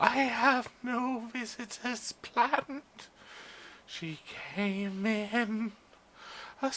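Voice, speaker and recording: A put-on character voice, fairly high in pitch, at a very slow pace with long, frequent pauses. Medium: game stream. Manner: imperious, severe.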